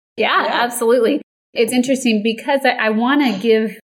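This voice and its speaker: A woman speaks at a fairly quick pace with a fairly high pitch. Hers is a normal speaking voice. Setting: video call.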